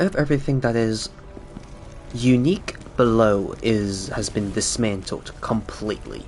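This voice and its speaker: With music in the background, a man talks at a fairly slow pace and medium pitch, with ordinary pitch variation. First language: Cantonese. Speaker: gaming streamer. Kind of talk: casual chat. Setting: live stream.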